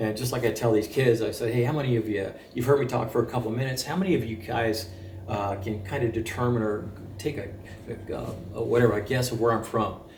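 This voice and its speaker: Very fast, with fairly even intonation at medium pitch, a man is talking. Audible room echo and noticeable background noise come through. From France. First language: French. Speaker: military veteran. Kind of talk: interview.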